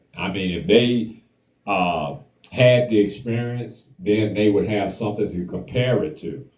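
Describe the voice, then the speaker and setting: Over audible room echo, a man talks at a fairly slow pace, his fairly low pitch showing ordinary variation. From US South. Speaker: talk show host. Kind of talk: casual discussion.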